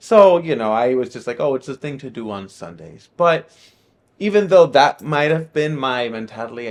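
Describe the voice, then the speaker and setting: A man talks at a fairly quick pace in a Spanish accent, with lively intonation. The background is quiet. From Miami, Florida (part of childhood in Nicaragua). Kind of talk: testimony. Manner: hesitant, many fillers.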